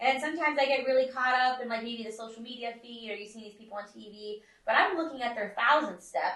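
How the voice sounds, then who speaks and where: In an American accent, a woman talks at a very fast pace with hardly any pauses, her high voice bright and sharp, with ordinary pitch variation and big swings in loudness. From US West, Nevada (Las Vegas). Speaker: podcast host. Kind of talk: casual podcast interview. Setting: podcast studio. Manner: hesitant, many fillers.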